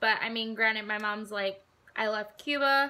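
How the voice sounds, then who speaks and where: A woman is speaking. She has a Southwest US accent. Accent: US Southwest American English. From Arizona, US. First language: Spanish. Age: 20s. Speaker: vlogger. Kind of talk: casual talk to camera.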